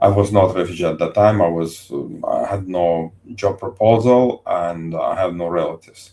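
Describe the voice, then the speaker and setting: At a moderate pace, a man with a non-native accent speaks in a dark, mellow tone at a fairly low pitch with ordinary pitch variation. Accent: foreign accent, noticeable. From Azerbaijan. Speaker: engineer, ex-Soviet soldier. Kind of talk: podcast interview. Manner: halting.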